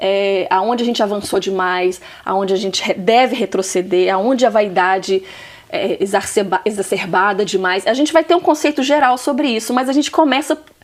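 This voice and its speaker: A woman talks at a moderate pace in a medium pitch, her tone animated and her intonation lively. Noticeable background noise runs behind her. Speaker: talk show host. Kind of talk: interview.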